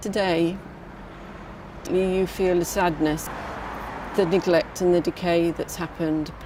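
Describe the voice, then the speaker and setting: A woman with a southern English accent speaks at a fairly slow pace, with fairly even intonation and long, frequent pauses, over noticeable background noise. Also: fairly low pitch for a woman. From England, Brighton. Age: 60. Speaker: community campaigner. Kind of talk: documentary interview.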